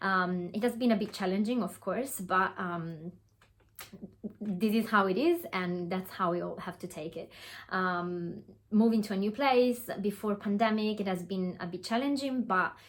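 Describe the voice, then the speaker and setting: With an Italian accent, a woman talks at a moderate pace and a medium pitch, her pitch varying in an ordinary way. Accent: Italian accent, noticeable. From Italy. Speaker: online business coach. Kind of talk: webinar presentation. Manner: hesitant, with fillers.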